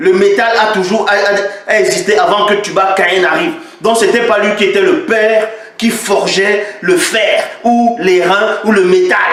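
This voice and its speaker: A high-pitched man at a fairly slow pace, lively in intonation yet very even in loudness, amid noticeable background noise and audible room echo. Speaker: religious critic video maker. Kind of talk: polemical commentary. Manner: animated.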